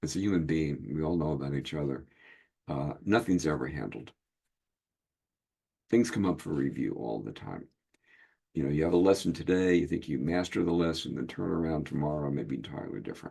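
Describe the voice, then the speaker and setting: Very deep and low in pitch, a man's dark, mellow voice shows vocal fry and ordinary pitch variation, moving at a fairly quick pace broken by long, frequent pauses. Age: 70s. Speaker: hypnotist and card deck creator. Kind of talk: casual group video meeting. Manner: halting, many fillers.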